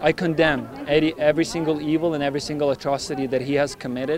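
Over noticeable background noise, a man talks at a very fast pace with a fairly high pitch and fairly even intonation. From Ukraine. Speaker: nurse. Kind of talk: public speech.

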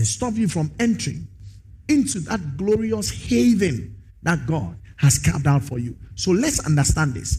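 A man's voice carries vocal fry and swings very widely in pitch while he keeps a moderate speed. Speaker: pastor. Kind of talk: sermon. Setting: church.

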